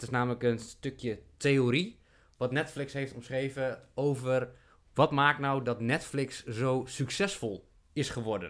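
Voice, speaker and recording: Against a quiet background, a man speaks very slowly with fairly even intonation. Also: medium pitch for a man. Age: 30s. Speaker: podcast host. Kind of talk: casual chat. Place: home room. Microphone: studio mic.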